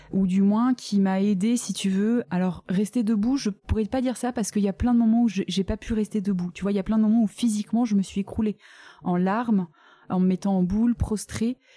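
Speaking at a fairly quick pace, a woman with a medium pitch has a dark, mellow, somewhat breathy tone and fairly even intonation, in a dry, close sound with no echo. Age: 30s. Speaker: adoptive mother. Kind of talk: testimony.

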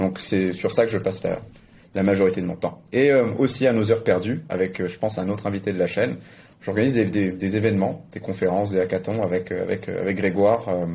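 A man talks at a fairly quick pace in a fairly low pitch with a dark, mellow tone. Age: 20s. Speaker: crypto media founder and blockchain entrepreneur. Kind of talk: interview.

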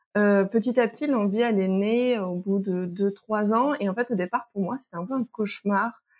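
Speaking at a moderate pace, a woman barely pauses at all. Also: medium pitch for a woman, ordinary pitch variation. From France, moved a lot, partly French Guiana. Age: 30s. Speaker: sexologist and teacher. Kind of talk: testimony. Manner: hesitant, many fillers.

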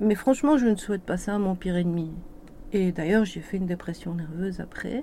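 With a dark, mellow tone, a woman of medium pitch talks at a fairly quick pace with ordinary pitch variation. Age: 50s. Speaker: business coach. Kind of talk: testimony. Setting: studio.

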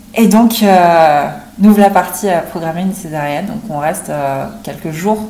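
A woman talks at a moderate pace with ordinary pitch variation. Audible room echo and noticeable background noise are present. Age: 20s. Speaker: mother sharing birth story. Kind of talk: testimony. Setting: in person, recorded together.

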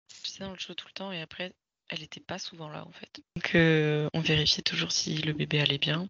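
A woman talks at a moderate pace with a very deep, low pitch. Her intonation is monotone and flat, with big swings in loudness. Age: 30s. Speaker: sophrologist and mother sharing birth story. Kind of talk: casual interview testimony.

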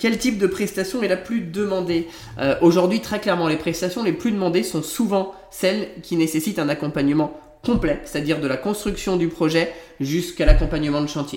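High male tones, fairly brisk delivery, typical pitch movement, and clearly audible background noise. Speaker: interior architect and podcast host. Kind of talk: solo podcast monologue.

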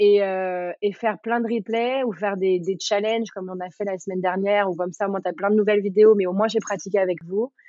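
At a very fast pace, a woman speaks at a medium pitch with ordinary pitch variation. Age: 30s. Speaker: yoga teacher and former dancer. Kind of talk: casual interview.

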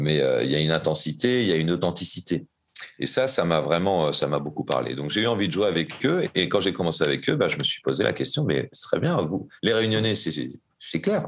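Very deep and low in pitch, a man talks at a fairly quick pace with very wide pitch swings. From France, Normandy (Caen). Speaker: jazz saxophonist. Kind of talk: interview. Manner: hesitant, many fillers.

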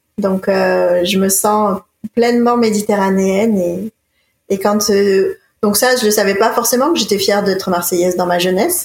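A woman speaks fairly slowly at a medium pitch with fairly even intonation in an ordinary speaking voice. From France, Marseille. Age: 30s. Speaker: ecologist and environmental leadership founder. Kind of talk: interview.

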